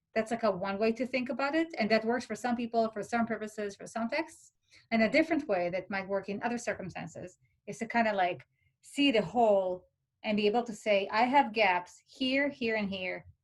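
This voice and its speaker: A woman talks at a fairly quick pace in a fairly high pitch, with ordinary pitch variation. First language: not English. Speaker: philosophy peer tutor. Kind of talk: workshop talk. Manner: hesitant, many fillers.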